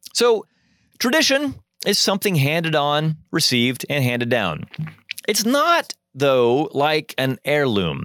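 In a Midwestern American accent, a man speaks at a fairly slow pace with a fairly high pitch and very wide pitch swings, in a dry, close sound with no echo. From US Midwest, Joplin, Missouri. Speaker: podcast host and college dean. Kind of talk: solo lecture-style reflection.

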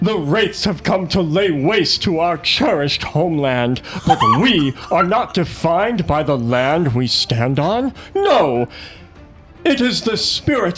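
A man uses a put-on character voice at a fairly slow pace. Clear background noise runs behind him. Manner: booming, rallying.

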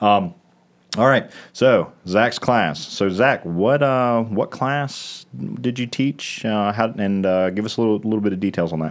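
An unremarkable speaking voice belongs to a man with a fairly low pitch and ordinary pitch variation, speaking at a fairly slow pace. The recording is very clean, the background silent. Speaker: radio host. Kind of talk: casual chat. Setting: studio.

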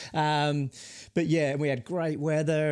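This is a man with an Australian accent. The recording is very clean, with a silent background. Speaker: podcast co-host, software founder. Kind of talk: casual chat. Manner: fast.

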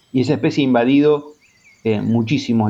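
The man's intonation is monotone and flat. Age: 40s. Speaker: native plant advocate. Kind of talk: interview. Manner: halting, many repetitions and fillers.

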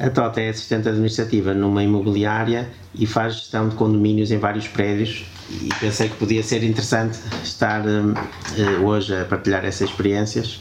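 Over noticeable background noise and audible room echo, a man speaks at a moderate pace with monotone, flat intonation. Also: fairly low pitch for a man. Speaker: podcast host. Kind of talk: casual chat. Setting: guest's home.

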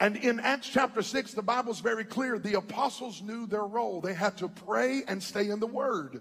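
A man's high, animated voice with ordinary pitch variation, at a moderate pace with hardly any pauses. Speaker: preacher. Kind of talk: sermon, preacher in full flow with call-and-response. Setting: church with a live congregation. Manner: animated, fiery, crowd-working, with humor and exhortation.

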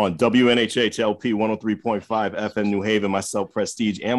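A man with a plain, everyday voice talks at a fairly slow pace, his fairly low pitch held in fairly even intonation. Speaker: radio co-host. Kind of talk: casual interview chat. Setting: radio studio.

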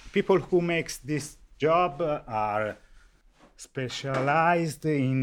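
A man with an Italian accent at a very slow pace, with lively intonation. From Viareggio, Tuscany, Italy. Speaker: carnival artisan. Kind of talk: interview.

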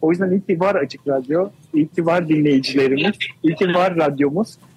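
Fairly high-pitched male speech at a moderate pace, with ordinary pitch variation and a dry, close sound with no echo. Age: 40s. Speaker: radio programmer. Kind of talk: live radio interview.

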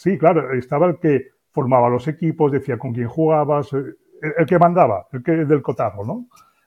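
Using a normal speaking voice, a man keeps a fairly quick pace and ordinary pitch variation. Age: 60s. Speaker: business consultant. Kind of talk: interview.

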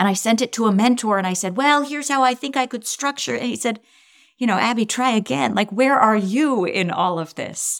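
Fairly high-pitched, a woman talks at a fairly quick pace with lively intonation. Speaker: social entrepreneur. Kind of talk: interview. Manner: confident.

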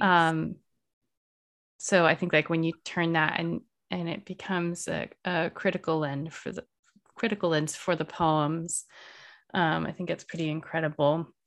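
A fairly low female voice at a moderate pace, with fairly even intonation and long, frequent pauses, on a very clean recording with a silent background. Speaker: poetry podcast host. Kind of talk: interview.

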